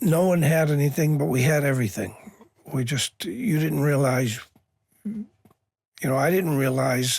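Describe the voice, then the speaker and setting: Somewhat breathy, a man speaks with an American accent at a medium pitch. His pace is moderate and his pitch varies in an ordinary way. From Boston, North End. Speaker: Navy veteran. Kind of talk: interview storytelling. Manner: halting, many fillers.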